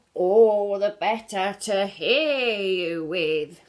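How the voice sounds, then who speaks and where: Using a put-on character voice, a woman speaks at medium pitch and a very slow pace. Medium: read story. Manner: snarling, putting on softness.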